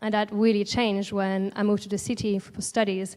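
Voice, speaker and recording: Speaking at a fairly quick pace, a woman with a French accent keeps a fairly high pitch and a monotone, flat intonation. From France, Alsace. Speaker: artist. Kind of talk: panel talk. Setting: stage with audience.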